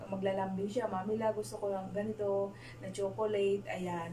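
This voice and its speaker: A woman talks at a fairly quick pace, with noticeable background noise present. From Philippines. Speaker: vlogger, overseas Filipino worker; overseas worker vlogger. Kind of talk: casual vlog; casual vlog chat. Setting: small bedroom. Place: home room. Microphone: camera far.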